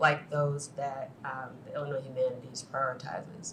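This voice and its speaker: A woman with an American accent speaks at a very deep, low pitch. Audible room echo and noticeable background noise fill the recording. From US Midwest, Chicago far south side. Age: 50s. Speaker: finance executive, panelist. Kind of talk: panel talk.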